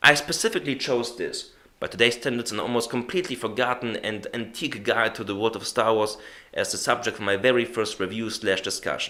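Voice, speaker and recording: Speaking fairly quickly with a non-native accent, a man uses a bright, sharp tone at medium pitch with fairly even intonation. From Germany. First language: German. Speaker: YouTube reviewer. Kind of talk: video review narration.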